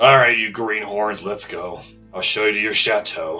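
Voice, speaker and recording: Putting on a raspy character voice, a man speaks at a fairly low pitch and a moderate pace while faint music plays in the background. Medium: actual play. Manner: gruff, brusque, impatient.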